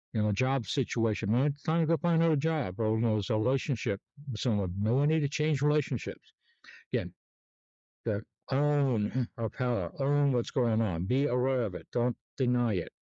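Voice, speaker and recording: A man at medium pitch talks at a fairly quick pace with ordinary pitch variation. His loudness stays very even, and the sound is dry and close with no echo. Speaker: sleep technologist and self-help vlogger. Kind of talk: casual monologue vlog. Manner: hesitant, many fillers; mumbling at times.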